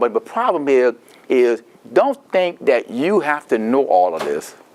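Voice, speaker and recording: Lively in his intonation, a man with a Louisiana accent speaks at a fairly high pitch. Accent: Louisiana Southern US. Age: 70s. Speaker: Medicare counselor presenting a seminar. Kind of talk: seminar talk. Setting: seminar room with audience. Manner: animated.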